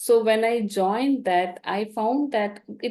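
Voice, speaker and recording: A woman with a Tamil accent, dark and mellow in tone, fairly slow, with very wide pitch swings and a quiet background. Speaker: dental professor and guest speaker. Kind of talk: invited talk.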